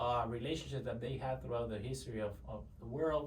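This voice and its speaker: Very fast speech over noticeable background noise. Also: man. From Mexico. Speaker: service delivery manager. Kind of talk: interview answer.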